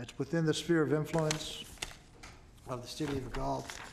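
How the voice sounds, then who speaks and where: Noticeable background noise runs through the clip. A man speaks fairly quickly at a fairly high pitch. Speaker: commission executive officer. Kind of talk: public meeting staff report. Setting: government meeting room, broadcast. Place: hall. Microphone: podium.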